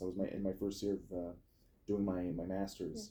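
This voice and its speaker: A man at a fairly low pitch. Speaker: podcast host. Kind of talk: casual chat. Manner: fast.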